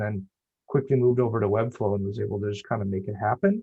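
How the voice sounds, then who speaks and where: The speaker is a man. He goes at a very fast pace with ordinary pitch variation. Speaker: web designer. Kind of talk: meetup presentation. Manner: casual, filler-heavy.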